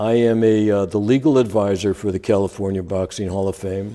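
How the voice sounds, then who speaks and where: Speaking fairly quickly with an American accent, a man has a fairly low pitch and a dark, mellow tone. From Chicago. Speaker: lawyer and former teacher. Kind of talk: interview.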